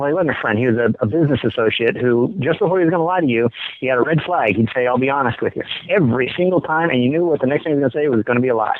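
Over noticeable background noise, a man talks very fast at medium pitch, keeping his loudness very even, with ordinary pitch variation. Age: old. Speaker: regular caller. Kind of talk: call-in chat.

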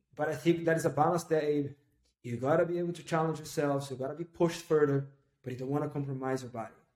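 The speaker has a Portuguese accent and fairly even intonation. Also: man. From northeast Brazil (Recife). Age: 30s. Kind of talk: casual interview.

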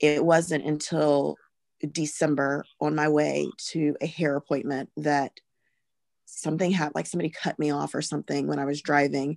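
Against a quiet background, a woman with an American accent speaks at a moderate pace in a very deep, low pitch with monotone, flat intonation. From US South (Alabama). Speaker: pharmacist and mother. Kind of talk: personal testimony in interview.

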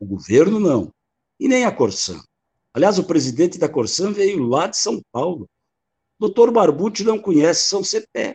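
A man speaks at a fairly slow pace with long, frequent pauses, his high voice swinging very widely in pitch. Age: 60s. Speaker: mayor and former state deputy. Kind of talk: panel debate.

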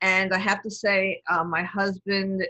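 A woman with a New York accent speaks fairly slowly at a medium pitch, her tone bright and sharp. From New York City. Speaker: lawyer and diversity executive. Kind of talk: casual interview chat.

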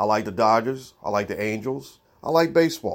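This man has an unremarkable speaking voice of medium pitch. He talks at a moderate pace with lively intonation. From Baltimore, Maryland, US. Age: middle-aged. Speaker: sports podcast host. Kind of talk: solo sports commentary monologue.

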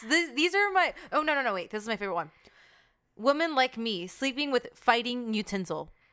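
A woman uses a raised, projected voice with a bright, sharp tone. Her pitch swings very widely. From Mexican-American family. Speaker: podcast co-host. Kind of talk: casual chat.

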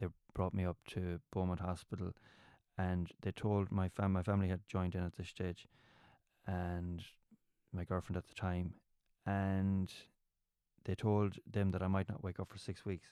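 A man with a west of Ireland accent, very deep and low in pitch, dark and mellow in tone, monotone and flat, at a moderate pace with long, frequent pauses, on a very clean recording with a silent background and a dry, close sound with no echo. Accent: west of Ireland Irish. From Ireland, County Mayo. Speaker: comedian. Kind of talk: casual chat.

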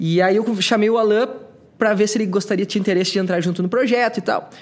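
A man talking at a very fast pace. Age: 30s. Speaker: podcaster. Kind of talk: casual chat. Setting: brewery taproom.

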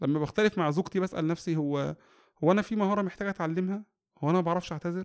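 On a very clean recording with a silent background and a dry, close sound with no echo, the speaker talks at a very fast pace with fairly even intonation. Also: man. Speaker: educational psychologist and family counselor. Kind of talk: interview about parenting.

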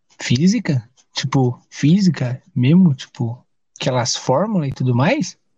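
Lively intonation in a somewhat breathy male voice pitched fairly high. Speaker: podcast host. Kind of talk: casual chat; game show hosting. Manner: animated.

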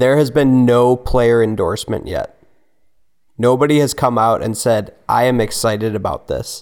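With a normal speaking voice, a man talks at a moderate pace in a medium pitch and fairly even intonation. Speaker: podcast co-host. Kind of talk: casual chat.

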